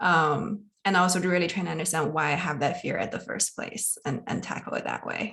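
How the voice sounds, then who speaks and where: A woman speaks at a fairly quick pace in a fairly low voice with vocal fry and a bright, sharp tone. Her pitch varies in an ordinary way, and she hardly pauses. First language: not English. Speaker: consulting manager, townhall participant. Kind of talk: personal sharing in Q&A. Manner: halting, repeats words.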